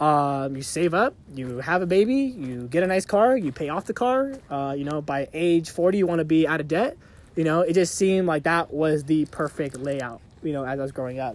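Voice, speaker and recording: With an ordinary speaking voice, a man talks at a moderate pace in a fairly high pitch with lively intonation, in a very clean recording with a silent background. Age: 20s. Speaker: podcast co-host. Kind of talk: casual chat. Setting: outdoors on a hiking trail.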